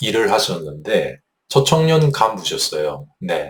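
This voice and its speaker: A man speaks in a somewhat breathy voice. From Japan (Hyogo, Kawanishi), ethnic Korean. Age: 60s. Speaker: North Korean defector YouTuber. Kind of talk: personal recollection monologue. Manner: hesitant, many fillers.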